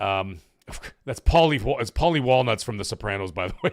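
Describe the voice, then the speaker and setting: Using vocal fry, a man talks at a very fast pace with very wide pitch swings. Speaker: gaming livestream host. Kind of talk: casual live-stream commentary. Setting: live stream.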